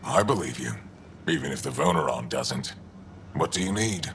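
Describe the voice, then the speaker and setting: In a put-on character voice, a man speaks at a moderate pace with a very deep, low pitch over clear background noise. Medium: machinima. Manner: blunt, terse.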